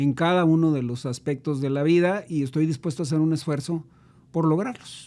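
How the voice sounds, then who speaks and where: A man's dark, mellow voice with ordinary pitch variation at a moderate pace. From northern Mexico, Tijuana. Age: 60s. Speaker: businessman and civic leader. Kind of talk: interview conversation. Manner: hesitant, many fillers.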